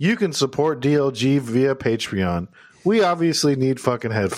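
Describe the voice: The plain reading aloud carries lively intonation.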